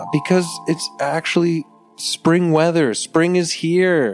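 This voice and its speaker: A man is speaking. Music plays in the background. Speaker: podcast host. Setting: indoors, window open. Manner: a bit hyper.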